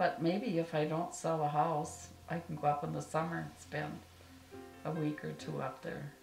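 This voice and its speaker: With music in the background, a woman speaks at a fairly slow pace in an Upper Midwest accent. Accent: Upper Midwest American. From northern Minnesota. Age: old. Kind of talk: interview answer.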